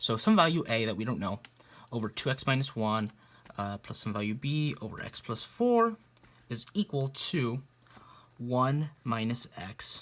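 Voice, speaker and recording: Speaking at a moderate pace, a man with a normal speaking voice uses lively intonation at a medium pitch. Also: big swings in loudness. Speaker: math tutor. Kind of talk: tutorial. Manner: casual, with fillers.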